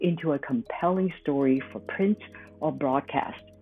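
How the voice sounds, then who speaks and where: A woman's very deep, low voice with very wide pitch swings at a moderate pace, music in the background. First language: Chinese. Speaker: podcast host, former journalist. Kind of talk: scripted commentary.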